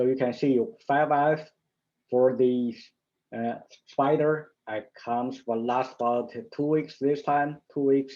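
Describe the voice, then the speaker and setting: Speaking with a non-native accent, a man uses a medium pitch and a dark, mellow tone, moving at a fairly slow pace with fairly even intonation and long, frequent pauses. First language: Mandarin. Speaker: stock market analyst. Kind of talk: market analysis tutorial. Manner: halting, with fillers and restarts.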